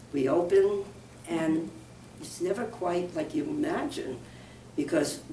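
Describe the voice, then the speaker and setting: A woman speaks fairly slowly with an American accent and very wide pitch swings. Room echo is audible. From New York. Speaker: minister. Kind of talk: interview.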